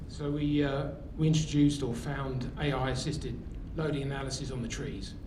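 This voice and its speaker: With a British accent, the speaker delivers a flat, monotone line at a fairly quick pace, amid noticeable background noise and audible room echo. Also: man, fairly high pitch for a man. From England. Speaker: tree care business owner. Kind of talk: audience question at workshop.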